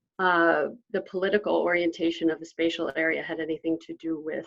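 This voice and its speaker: A woman with an American accent and a fairly low pitch. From United States. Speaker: session chair, economics academic. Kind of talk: Q&A moderation.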